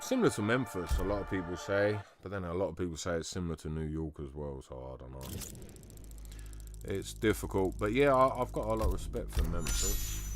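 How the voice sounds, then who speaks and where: A man with a London accent, very deep and low in pitch, fairly quick, with very wide pitch swings and big swings in loudness. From London, England. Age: 30s. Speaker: gaming streamer. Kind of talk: casual live-stream chat. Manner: animated.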